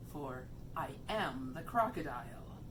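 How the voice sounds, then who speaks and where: A woman's put-on character voice, very deep and low, at a fairly slow pace over loud background noise. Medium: read story. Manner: sly, wheedling.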